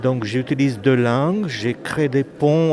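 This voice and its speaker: In a Romanian accent, a man speaks at a very slow pace with a medium pitch and ordinary pitch variation. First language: Romanian (speaking French). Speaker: author and poet. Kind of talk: interview.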